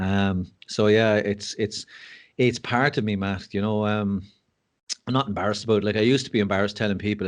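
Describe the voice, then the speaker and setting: Rattling along at a very fast pace, a man speaks in a fairly low pitch with an Irish accent. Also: quiet background. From Ireland. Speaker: mental health speaker and school assistant principal. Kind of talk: podcast interview.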